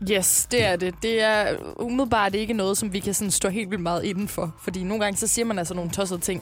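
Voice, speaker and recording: A woman at a very fast pace with fairly even intonation, music in the background. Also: medium pitch for a woman. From Jutland, Denmark. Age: 20s. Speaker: radio host. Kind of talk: casual chat.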